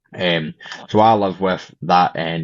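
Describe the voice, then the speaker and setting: A man speaks in a Scottish accent with monotone, flat intonation. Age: 20s. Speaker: podcast guest with chronic illness. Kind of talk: interview. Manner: hesitant, many fillers.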